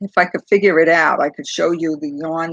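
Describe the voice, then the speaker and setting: Speaking with a Brooklyn accent, a woman with a very deep, low pitch keeps a moderate pace and ordinary pitch variation in a dry, close sound with no echo. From New York City, Brooklyn. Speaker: crochet YouTuber. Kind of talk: casual livestream chat. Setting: livestream on laptop. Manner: halting, many fillers.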